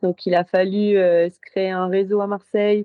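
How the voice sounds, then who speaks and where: A woman with a fairly low pitch talks very slowly. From northern France, Lille. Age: 30s. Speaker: Olympic sailor. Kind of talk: casual interview.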